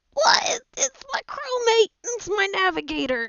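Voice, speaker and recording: Using a put-on character voice, a woman speaks at a fairly slow pace in an extremely high, squeaky voice with very wide pitch swings. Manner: muffled, talking while eating.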